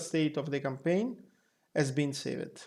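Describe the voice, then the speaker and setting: Someone with a non-native accent talks at a moderate pace in a very clean recording with a silent background. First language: not English. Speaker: flight sim group member. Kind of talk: software tutorial narration.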